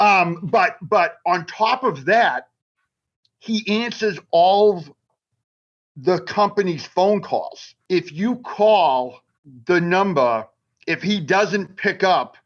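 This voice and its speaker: A man with high pitch and lively intonation, at a very slow pace with long, frequent pauses. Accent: Boston. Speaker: magazine writer. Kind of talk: casual chat.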